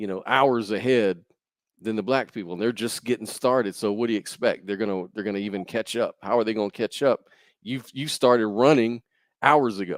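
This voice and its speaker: In a very clean recording with a silent background and a dry, close sound with no echo, a man with an American accent uses an ordinary speaking voice at a medium pitch, a fairly quick pace and fairly even intonation. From US South. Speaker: podcast host. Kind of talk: casual chat.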